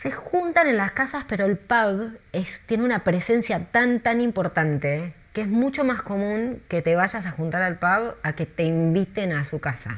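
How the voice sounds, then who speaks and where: With an Argentine accent, this voice moves at a fairly slow pace and carries lively intonation. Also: woman, medium pitch for a woman. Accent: Rioplatense Argentine Spanish. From Argentina, Buenos Aires. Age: 40s. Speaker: tour guide. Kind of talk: interview.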